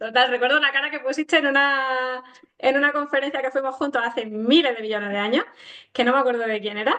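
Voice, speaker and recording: A woman talks in a raised, projected voice at a very fast pace. Her pitch is high and her intonation fairly even. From Granada, Andalusia, Spain. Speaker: interviewer, podcast host. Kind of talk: casual interview chat.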